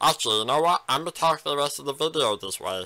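A man's put-on character voice, fairly high in pitch, at a very fast pace.

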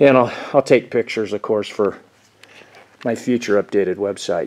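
The voice moves at a moderate pace with fairly even intonation against a quiet background. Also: man. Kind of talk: casual vlog chat. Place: workshop. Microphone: phone near.

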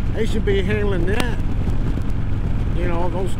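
Loud background noise fills the recording. A woman speaks with a dry sound and no echo. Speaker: motorcycle vlogger. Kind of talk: casual vlog chat. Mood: critical, ranting about politics. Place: motorbike.

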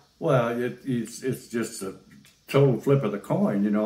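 A man talks at a moderate pace while audible room echo surrounds his voice. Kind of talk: interview answer. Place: home room.

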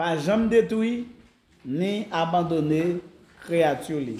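In a room with audible echo, a man speaks very slowly at a high pitch. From Haiti. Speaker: pastor; pastor giving a Bible lecture. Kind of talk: sermon. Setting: church. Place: church. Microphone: camera far.

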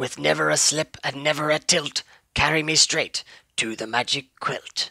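In a put-on character voice, a man talks at a fairly slow pace with a bright, sharp tone, ordinary pitch variation and vocal fry, in a dry, close sound with no echo. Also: fairly high pitch for a man.

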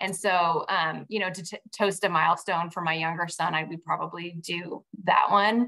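A woman with an American accent and a bright, sharp tone talks at fairly low pitch and a moderate pace, monotone and flat with hardly any pauses, against a quiet background. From Northern California (Vacaville); Northern California. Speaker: head winemaker; guest. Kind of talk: casual interview on a wine-tasting webinar. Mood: friendly, relaxed. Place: kitchen. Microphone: video call.

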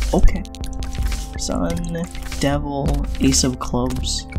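A very slow pace with clear music in the background. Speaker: gaming video creator. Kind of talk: casual gameplay commentary.

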